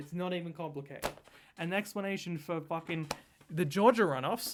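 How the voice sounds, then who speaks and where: A man with an Australian accent, high in pitch, animated in tone, at a moderate pace. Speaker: political commentator. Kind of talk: reaction commentary.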